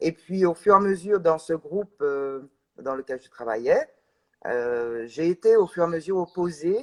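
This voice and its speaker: A woman speaks in a fairly low voice at a fairly slow pace, in a dry, close sound with no echo. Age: 60s. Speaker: organic farmer and NGO vice president. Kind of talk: live interview. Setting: livestream. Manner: halting, many hesitations.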